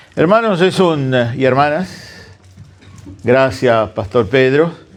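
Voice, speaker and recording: Audible room echo surrounds a man speaking at a very slow pace. His pitch swings very widely. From Argentina, Santa Fe (interior). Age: 60s. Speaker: guest preacher. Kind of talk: sermon.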